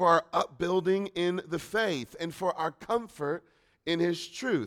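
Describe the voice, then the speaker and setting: A man speaks loudly at a fairly slow pace, his pitch high and its variation ordinary, on a very clean recording with a silent background. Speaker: preacher. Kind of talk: sermon. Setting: church.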